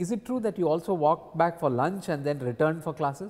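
Talking at a very fast pace, a man uses a fairly high pitch. His intonation is lively. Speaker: oral history interviewer. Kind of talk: oral history interview. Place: hall. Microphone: lapel.

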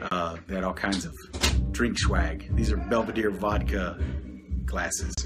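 Music plays in the background. A man is speaking. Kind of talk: casual livestream chat. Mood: playful, excited. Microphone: phone near.

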